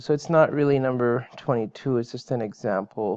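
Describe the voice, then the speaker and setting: This man's voice sits at a medium pitch, with ordinary pitch variation. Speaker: math teacher. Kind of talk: online lecture. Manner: hesitant with fillers.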